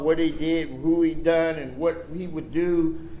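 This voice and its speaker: A man's fairly high-pitched, monotone voice with an American accent, flat intonation, audible room echo and noticeable background noise. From Pittsburgh, Pennsylvania (the Hill District). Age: 70s. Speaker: recovery speaker. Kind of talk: recovery share / speech. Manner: casual, streetwise.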